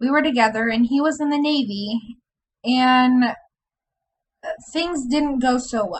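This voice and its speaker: Speaking at a fairly slow pace with long, frequent pauses, a woman uses a high pitch and ordinary pitch variation. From Indiana, US Midwest. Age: 20s. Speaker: video blogger. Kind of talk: personal vlog, casual monologue.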